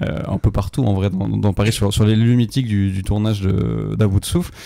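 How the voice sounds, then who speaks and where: A man speaks at a moderate pace with a fairly low pitch and fairly even intonation. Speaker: film critic podcast co-host. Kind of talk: casual film review discussion. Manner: hesitant, many fillers.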